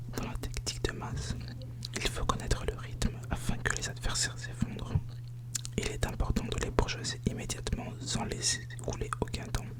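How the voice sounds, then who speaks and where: Someone soft-spoken is whispering against noticeable background noise. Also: moderate pace. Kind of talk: whispered ASMR book reading for sleep. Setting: quiet ASMR recording, close microphone. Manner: whispered, soft, calming.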